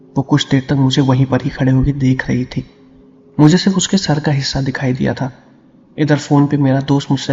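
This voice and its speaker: A fairly high-pitched man at a moderate pace with monotone, flat intonation. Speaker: horror story narrator. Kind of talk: storytelling narration.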